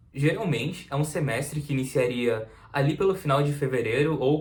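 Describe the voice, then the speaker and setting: Fairly even in intonation, a somewhat breathy voice proceeds at a moderate pace. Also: man. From Santa Catarina, southern Brazil. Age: 20s. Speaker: university student, vlogger. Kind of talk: casual vlog talk to camera.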